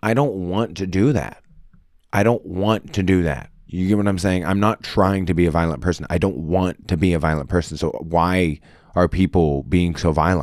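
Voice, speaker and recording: In a very clean recording with a silent background, a man with a very deep, low voice talks at a moderate pace and very even loudness. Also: ordinary pitch variation. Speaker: podcast co-host. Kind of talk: casual chat.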